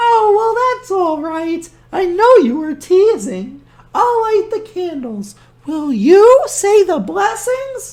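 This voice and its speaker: A squeaky, put-on character voice at a very slow pace, with very wide pitch swings and big swings in loudness. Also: woman, extremely high pitch for a woman. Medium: read story. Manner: warm, chatty.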